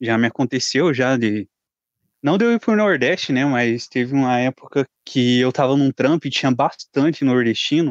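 Over a quiet background, a man speaks at a medium pitch and a moderate pace with ordinary pitch variation, very even loudness and a dry, close sound with no echo. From Curitiba, southern Brazil. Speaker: guest, warehouse worker. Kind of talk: casual chat.

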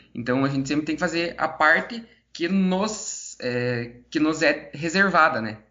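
At a fairly slow pace, a man with an unremarkable speaking voice talks at a fairly high pitch with lively intonation. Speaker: podcast co-host. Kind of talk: interview.

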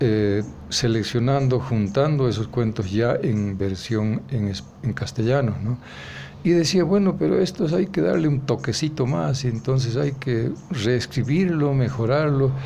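Speaking at a fairly slow pace, a man holds a medium pitch with lively intonation. His loudness stays very even. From rural Bolivia, Vallegrande area. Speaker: writer and anthologist. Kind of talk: interview. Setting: café. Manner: halting, many hesitations and repetitions.

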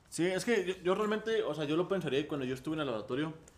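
Very fast delivery from a man with fairly high pitch and ordinary pitch variation, over noticeable background noise. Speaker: podcast co-host. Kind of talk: casual chat.

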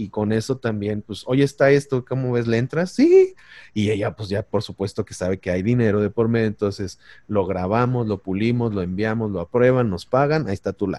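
A man's fairly low, dark and mellow voice, fairly quick, with ordinary pitch variation and a dry, close sound with no echo. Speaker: voice-over artist. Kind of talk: casual chat.

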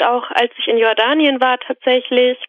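A high-pitched woman's voice at a moderate pace. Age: 20s. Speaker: student and podcast caller. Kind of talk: casual interview conversation. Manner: hesitant, many fillers.

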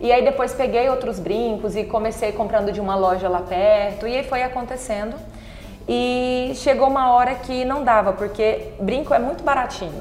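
A woman at a fairly high pitch with ordinary pitch variation and a moderate pace, amid noticeable background noise and audible room echo. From Brazil, Tocantins (Palmas). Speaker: entrepreneur. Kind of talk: casual interview.

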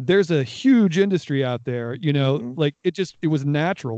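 A man with an American accent, dark and mellow in tone, lively intonation, moderate pace, dry and close sound with no echo, quiet background. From Northeast Ohio. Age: 40s. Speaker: audio producer and sound designer. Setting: home recording with mic.

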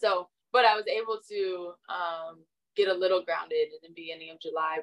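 Speaking with an American accent, a woman uses a medium pitch with ordinary pitch variation. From Florida (Orlando). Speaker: podcast co-host. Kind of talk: casual chat. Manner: animated.

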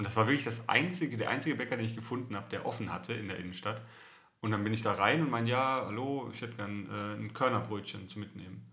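Talking at a very fast pace in a southern German accent, a man with a fairly low pitch, ordinary pitch variation, vocal fry and a bright, sharp tone is heard with audible room echo. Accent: southern German intonation, still audible. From southern Germany. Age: 30s. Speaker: podcast co-host. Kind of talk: casual chat.

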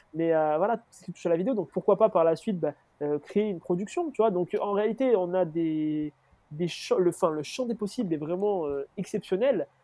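The speech, in a southern French accent, moves at a moderate pace with ordinary pitch variation. Its loudness swings widely. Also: man, high pitch for a man. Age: 20s. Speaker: student entrepreneur. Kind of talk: casual chat. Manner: halting.

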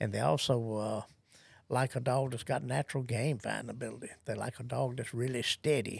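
A man with a Southern US accent speaks at a moderate pace in a medium pitch, with vocal fry and ordinary pitch variation, on a very clean recording with a silent background. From US South. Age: 70s. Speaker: gun dog trainer. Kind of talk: interview.

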